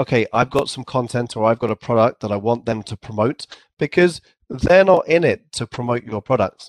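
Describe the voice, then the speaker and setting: A man speaks in an English accent. The sound is dry and close, with no echo. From England. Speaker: company CEO. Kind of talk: casual interview.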